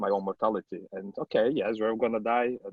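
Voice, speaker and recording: In a Portuguese accent, a man speaks at a moderate pace with a fairly low pitch. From Brazil. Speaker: publishing consultant. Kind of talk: online panel discussion. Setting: video call.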